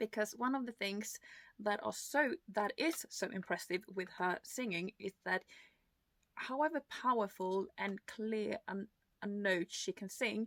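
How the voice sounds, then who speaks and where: A woman speaks at a fairly slow pace, her pitch fairly high with ordinary variation. The sound is dry and close, with no echo. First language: not English (English is her third language). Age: 30s. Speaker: music reaction youtuber. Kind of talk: reaction video commentary. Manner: hesitant, many fillers.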